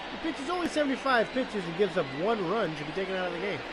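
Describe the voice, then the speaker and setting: Noticeable background noise sits behind a man whose high pitch swings very widely. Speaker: fake sports play-by-play commentator. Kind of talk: live commentary.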